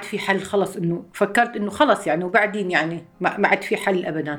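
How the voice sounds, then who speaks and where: With a Syrian accent, a woman speaks with fairly even intonation over noticeable background noise. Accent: Syrian Levantine Arabic (Homs). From Syria, Homs. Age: 50s. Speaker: refugee mother. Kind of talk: testimony.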